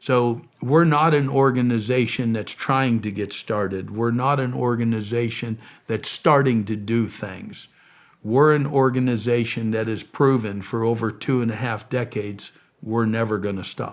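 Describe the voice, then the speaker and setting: A man with an American accent, a normal speaking voice, speaks at medium pitch and a moderate pace with fairly even intonation on a very clean recording with a silent background. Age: 60s. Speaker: missionary and charity founder. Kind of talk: interview.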